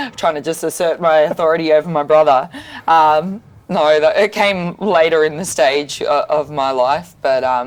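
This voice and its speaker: A woman talks with an Australian accent. Her pitch is very deep and low, with ordinary variation. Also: moderate pace. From Sydney, Australia. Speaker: boxer. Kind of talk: interview. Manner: hesitant, many fillers.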